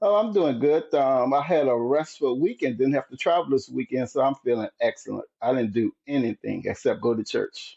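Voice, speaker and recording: Here a man talks with hardly any pauses. He has a slight Southern US accent. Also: moderate pace. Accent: slight Southern twang. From US South, rural southern Virginia (Dinwiddie County). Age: 60s. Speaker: marathon runner and retired military. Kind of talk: casual interview chat. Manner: animated, upbeat.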